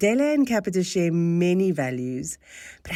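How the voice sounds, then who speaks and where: In a South African accent, a woman with a dark, mellow tone and medium pitch speaks at a moderate pace with very wide pitch swings, on a very clean recording with a silent background. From South Africa, Cape Town. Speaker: think tank board chair. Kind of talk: formal welcome speech. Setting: salon event with live audience. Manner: formal.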